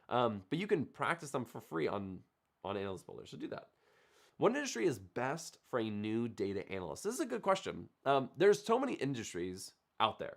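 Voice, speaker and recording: Speaking fairly quickly, a man with a medium pitch makes very wide pitch swings and big swings in loudness. The recording is very clean, with a silent background. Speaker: data analytics YouTuber. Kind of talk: livestream Q&A. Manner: casual, filler-heavy.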